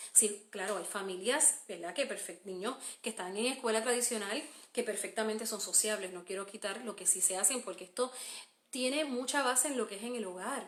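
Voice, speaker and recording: This woman's pitch is fairly high and varies in an ordinary way. She talks at a fairly quick pace. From Puerto Rico. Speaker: homeschooling mother and podcaster. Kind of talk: live stream Q&A. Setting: Facebook live stream. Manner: hesitant, many fillers.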